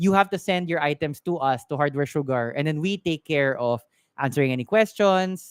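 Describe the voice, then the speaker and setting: A very clean recording with a silent background, in a Filipino accent. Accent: Filipino English, Taglish code-switching. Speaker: tech shop owner and live-stream tech advice host. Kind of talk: live-stream Q&A, casual chat. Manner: casual, with frequent fillers and restarts.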